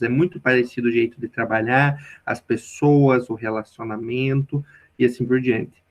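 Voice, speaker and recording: A man with a strong southern Brazilian accent, medium pitch, fairly even intonation and a moderate pace. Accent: strong southern Brazilian countryside. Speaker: youth organization national leader. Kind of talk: podcast interview.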